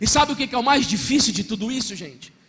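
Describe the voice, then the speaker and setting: A man with a Brazilian accent speaks in a raised, projected voice at an extremely high pitch, his tone animated. Noticeable background noise runs underneath. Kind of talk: sermon.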